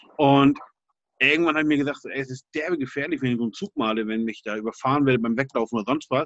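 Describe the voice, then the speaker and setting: Speaking at a very fast pace in a fairly high voice, a man is heard in dry, close sound with no echo. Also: ordinary pitch variation. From Hamburg, Germany (St. Pauli). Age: 40s. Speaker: graffiti artist. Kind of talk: interview. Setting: video call. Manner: casual, hesitant with fillers.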